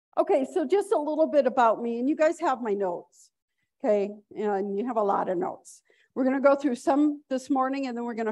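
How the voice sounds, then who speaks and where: This woman has a high-pitched voice with lively intonation. She talks at a fairly quick pace. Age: 60s. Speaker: veterinarian and conference speaker. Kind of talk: conference lecture.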